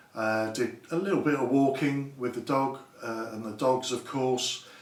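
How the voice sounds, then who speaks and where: A man with a medium-pitched voice talks at a fairly slow pace with fairly even intonation, amid noticeable background noise and audible room echo. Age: 50s. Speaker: YouTuber, health and safety worker. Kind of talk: unboxing video, casual monologue. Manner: halting, many fillers.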